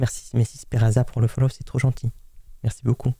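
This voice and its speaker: Somewhat breathy and dark, mellow in tone, a man speaks at a fairly quick pace and medium pitch. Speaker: streamer scambaiting a scammer. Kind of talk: live stream commentary. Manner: halting.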